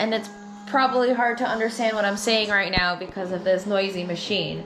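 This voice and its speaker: Moving at a fairly quick pace, a woman speaks with fairly even intonation over noticeable background noise. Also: medium pitch for a woman. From Filipino heritage. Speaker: small business owner, sticker crafter. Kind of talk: casual talk to camera.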